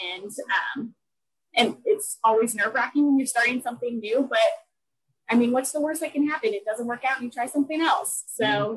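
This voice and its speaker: Her voice is high-pitched and bubbly, with ordinary pitch variation. This woman talks at a fairly quick pace but leaves long, frequent pauses. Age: 20s. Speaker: blogger. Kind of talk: interview.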